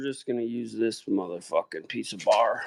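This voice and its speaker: The sound is dry and close with no echo as this man moves at a fairly quick pace. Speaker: livestreamer doing mechanical work. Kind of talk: casual chat while working on a trailer.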